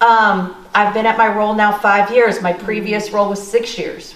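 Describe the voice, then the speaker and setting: A woman talks at a moderate pace with fairly high pitch. There is noticeable background noise and audible room echo. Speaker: panelist. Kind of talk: panel discussion. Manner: loud.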